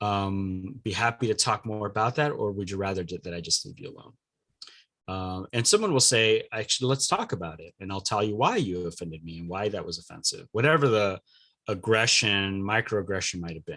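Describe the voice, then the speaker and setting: In a very clean recording with a silent background, a man with a Californian accent speaks fairly quickly in a fairly low, bright, sharp voice with ordinary pitch variation. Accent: Californian American English. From US West Coast, Los Angeles. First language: Spanish. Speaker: diversity coach and trainer. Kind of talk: podcast interview. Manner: hesitant, many fillers.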